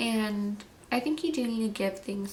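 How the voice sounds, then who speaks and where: A woman talks at a fairly slow pace. The room echo is audible, and there is noticeable background noise. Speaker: beauty and wellness vlogger. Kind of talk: product review. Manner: casual with fillers.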